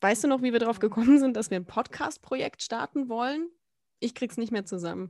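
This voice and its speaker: A woman at fairly high pitch, fairly quick and with lively intonation, in a very clean, dry, close recording with no echo and a silent background. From Baden-Württemberg, mostly Baden-Baden (born Frankfurt, moved around). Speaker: podcast co-host. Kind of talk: casual chat.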